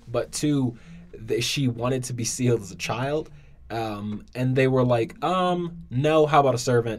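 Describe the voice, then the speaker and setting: A man speaks in a normal speaking voice with an American accent. His pitch is medium with ordinary variation, and his pace is fairly slow. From US, Washington DC. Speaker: student, podcast guest. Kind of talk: casual chat.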